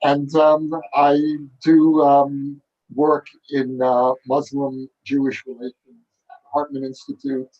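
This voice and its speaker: A man with a New York accent speaks at a very slow pace in a dark, mellow tone with a fairly high pitch. His intonation is monotone and flat, and the sound is dry and close with no echo. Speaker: author. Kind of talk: panel dialogue. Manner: hesitant, many fillers.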